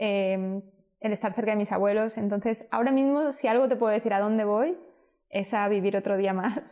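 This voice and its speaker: A woman speaking at a fairly quick pace, fairly high in pitch, with ordinary pitch variation and very even loudness. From Spain. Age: 30s. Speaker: entrepreneur. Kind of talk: interview.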